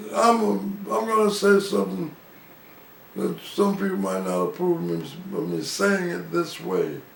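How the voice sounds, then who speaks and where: A man speaks at an even, middling speed in an American accent, and there is clear noise behind him. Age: 80s+. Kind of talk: interview answer. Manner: casual, conversational.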